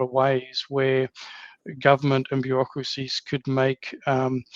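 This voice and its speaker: A man with an Australian accent speaks at a moderate pace and a medium pitch. The sound is dry and close, with no echo. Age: 50s. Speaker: podcast host. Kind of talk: interview. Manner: halting, many fillers and repeats.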